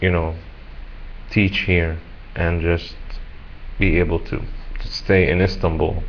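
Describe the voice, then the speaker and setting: A man's very deep, low voice at a very slow pace, monotone and flat, with long, frequent pauses and audible room echo. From Egypt. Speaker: English teacher. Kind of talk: self-introduction video. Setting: webcam recording. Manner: halting, with fillers and repetitions.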